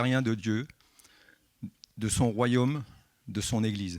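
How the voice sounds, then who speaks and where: Speaking at a medium pitch, the man keeps his intonation fairly even. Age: 60s. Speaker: church member giving baptism testimony. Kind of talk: testimony. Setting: church service.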